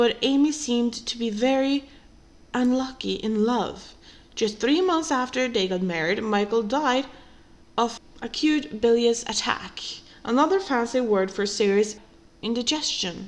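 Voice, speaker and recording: With a non-native accent, a woman speaks at a fairly slow pace in a fairly high voice with lively intonation. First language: not English. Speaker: true crime podcaster. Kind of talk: scripted narration.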